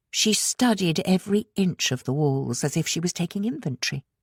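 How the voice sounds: A woman speaks at a moderate pace with lively intonation and a slightly mellow tone. The sound is dry and close with no echo, on a very clean recording with a silent background.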